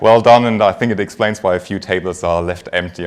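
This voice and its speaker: A man with a German accent at a moderate pace, over noticeable background noise. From Germany. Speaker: finance executive. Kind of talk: conference talk. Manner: frequent filler words.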